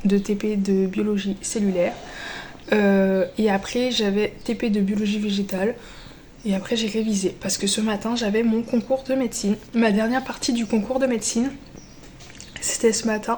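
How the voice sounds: A woman speaks at medium pitch with a slightly mellow tone. Her pitch moves little.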